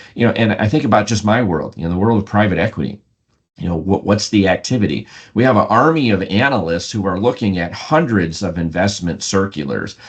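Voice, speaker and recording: A man's fairly low voice with an American accent, at a fairly quick pace against a quiet background. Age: 60s. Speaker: private equity CEO and author. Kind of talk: podcast interview. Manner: halting, with frequent repetitions and fillers.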